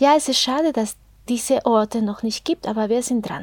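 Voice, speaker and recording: A woman with a Spanish accent speaks in a high pitch. Her pitch varies in an ordinary way. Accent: Spanish-tinged German. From Mexico. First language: Spanish (speaking German). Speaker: podcast host, interviewer. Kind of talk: casual chat.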